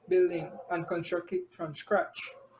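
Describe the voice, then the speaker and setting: A man speaks in a high pitch. Noticeable background noise can be heard. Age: 20s. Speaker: college student. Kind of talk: class presentation.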